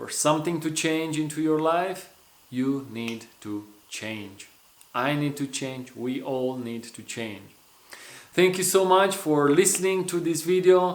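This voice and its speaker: A man with a Romanian accent at a fairly slow pace, lively in intonation, with big swings in loudness and audible room echo. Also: fairly high pitch for a man. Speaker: personal development coach. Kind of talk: motivational vlog talk.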